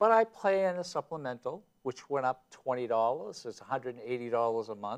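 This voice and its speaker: A man with a plain, everyday voice speaks at a fairly quick pace and medium pitch, his intonation lively and the sound dry and close with no echo. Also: big swings in loudness. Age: 60s. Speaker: state legislator, talk show co-host. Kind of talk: heated debate.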